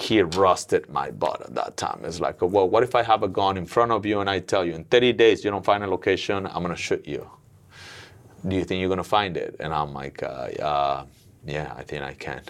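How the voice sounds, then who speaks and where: A man with a very deep, low pitch, vocal fry, lively intonation and a Mexican accent, on a very clean recording with a silent background. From Mexico City. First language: Spanish. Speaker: gym owner and businessman. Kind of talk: casual interview.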